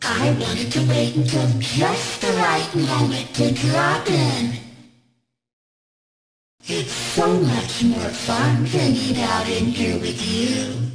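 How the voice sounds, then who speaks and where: A raspy, put-on character voice with a menacing tone speaks at a very slow pace, with a clear echo. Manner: creepy, menacing.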